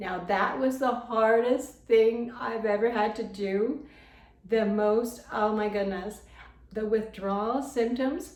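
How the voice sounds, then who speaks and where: Audible room echo surrounds a woman with a fairly high pitch and ordinary pitch variation. She speaks at a very slow pace. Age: 70s. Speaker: lifestyle vlogger. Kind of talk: personal testimony vlog. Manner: conversational, repetitive.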